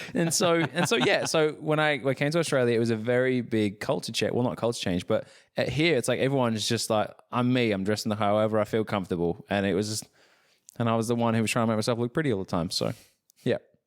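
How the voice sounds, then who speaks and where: A man with an English accent speaks at a very fast pace, at medium pitch with ordinary pitch variation. The recording is very clean, with a silent background. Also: very even loudness. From England. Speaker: podcast host. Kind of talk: casual chat. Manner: animated.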